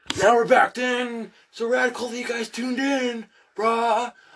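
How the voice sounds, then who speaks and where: The voice is a put-on character voice at a fairly high pitch. It moves at a moderate pace. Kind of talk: casual slang. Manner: laid-back.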